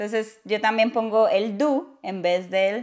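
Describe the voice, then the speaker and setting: Over a quiet background, a woman with a fairly high pitch speaks at a very slow pace, using ordinary pitch variation. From Latin America. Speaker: YouTuber teaching English. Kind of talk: casual chat. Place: home room. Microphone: lapel.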